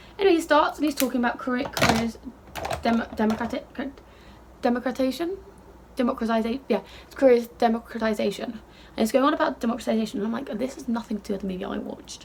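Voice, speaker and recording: At a very fast pace and a high pitch, a woman talks in an animated tone with ordinary pitch variation over noticeable background noise. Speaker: beauty vlogger. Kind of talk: casual chat.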